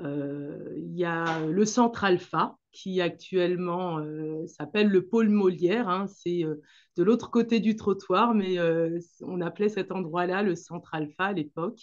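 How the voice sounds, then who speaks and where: A woman with a Senegalese accent talks at a very slow pace, her fairly low voice showing ordinary pitch variation. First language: Manjak (speaking French). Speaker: dance teacher and association founder. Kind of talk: interview talk about her association. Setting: video call. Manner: hesitant, many fillers.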